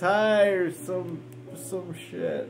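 A man at a very slow pace, with faint music in the background. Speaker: home vlogger. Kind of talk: casual storytelling vlog chat. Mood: relaxed, amused, rambling. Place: home room. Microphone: phone near.

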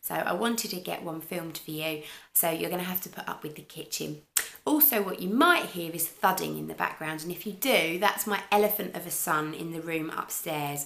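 A woman with a normal speaking voice talks at a fairly quick pace, her loudness swinging widely while her pitch varies in an ordinary way. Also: fairly low pitch for a woman. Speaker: crochet podcaster. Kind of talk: casual vlog chat. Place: kitchen. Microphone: camera far.

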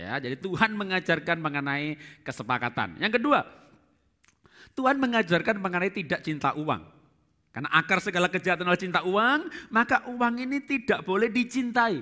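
A man's raised, projected voice, high in pitch, bright and sharp in tone, with very wide pitch swings, a fairly quick pace and a quiet background. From Central Java, Indonesia (Solo); Central Java, Indonesia. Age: 50s. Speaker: pastor and marriage teacher; pastor, marriage teacher. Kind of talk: seminar teaching. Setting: stage with audience. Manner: animated. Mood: cheerful, joking. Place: church. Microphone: headset.

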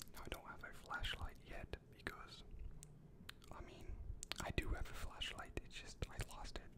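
Whispering with long, frequent pauses, a man's voice shows big swings in loudness. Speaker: ASMR content creator. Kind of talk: ASMR follow-the-light trigger video. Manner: soft-spoken, slow. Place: home room. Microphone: studio mic.

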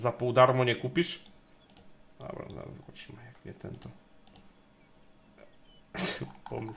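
A man speaking at a fairly slow pace over light background noise. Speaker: game streamer. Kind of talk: casual gameplay commentary. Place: home room. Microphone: studio mic.

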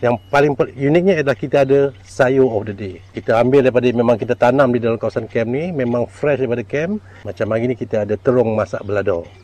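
The sound is dry with no echo as a man with a dark, mellow tone talks at a very fast pace with ordinary pitch variation. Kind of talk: interview answer. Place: waterside. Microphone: lapel.

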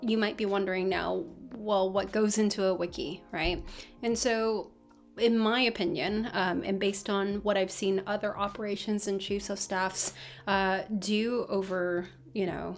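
A woman speaks at a fairly slow pace with fairly even intonation. Faint music plays in the background. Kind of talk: tutorial. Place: home room. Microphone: webcam.

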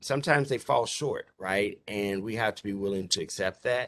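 Over a quiet background, a man speaks in a plain, everyday voice at a fairly low pitch with ordinary pitch variation. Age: 50s. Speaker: university diversity officer. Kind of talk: conference presentation. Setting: video call.

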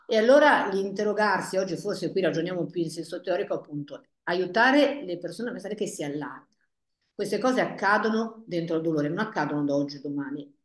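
A woman talks at a very fast pace. There is audible room echo against a quiet background. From northern Italy, Paderno Dugnano near Milan; northern Italy. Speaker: family therapist; guest. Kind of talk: panel discussion. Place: office. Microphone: earbuds.

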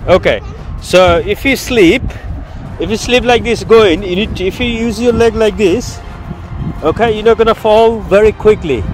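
Against clear music in the background, a man with a high pitch speaks with fairly even intonation and long, frequent pauses, the sound dry with no echo. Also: moderate pace. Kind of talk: casual vlog chat. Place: open country. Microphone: phone near.

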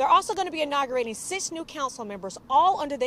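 A woman at a very fast pace, dry with no echo, over light background noise. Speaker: TV news reporter. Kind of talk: TV news report. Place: street. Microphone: handheld.

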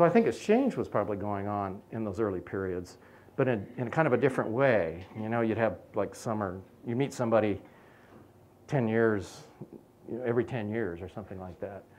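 An ordinary speaking voice from a man with an American accent, fairly low in pitch, at a fairly quick pace with ordinary pitch variation. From California. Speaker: archaeologist. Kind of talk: public lecture. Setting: venue with live audience.

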